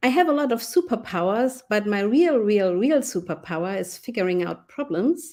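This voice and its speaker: A woman with a German accent speaks at a fairly high pitch and a moderate pace, with lively intonation. Her tone is dark and mellow, on a very clean recording with a silent background. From Germany. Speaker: UX designer and researcher. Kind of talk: conference talk.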